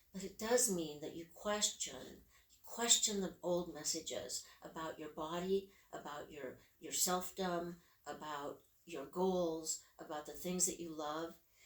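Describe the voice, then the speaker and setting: A woman's fairly low-pitched voice, fairly slow, with ordinary pitch variation, big swings in loudness and noticeable background noise. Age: 80s+. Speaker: professional coach. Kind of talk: interview.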